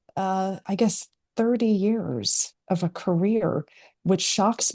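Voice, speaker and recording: A woman with a dark, mellow tone speaks with fairly even intonation over a quiet background. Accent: American. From US Midwest, Chicago. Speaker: entrepreneur and author. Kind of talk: interview. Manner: hesitant, many fillers.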